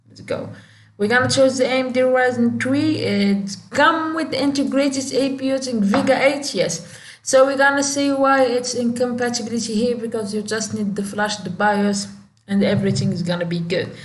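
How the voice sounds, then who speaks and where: Ordinary pitch variation comes through amid noticeable background noise and audible room echo. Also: woman, high pitch for a woman, moderate pace. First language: Moroccan Arabic (Darija). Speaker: tech youtuber. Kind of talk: tutorial. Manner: halting; casual, many fillers.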